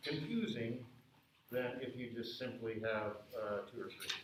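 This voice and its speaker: A man with a medium pitch speaks at a fairly slow pace. Room echo is audible and there is noticeable background noise. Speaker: music professor. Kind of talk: lecture. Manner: loud, projecting.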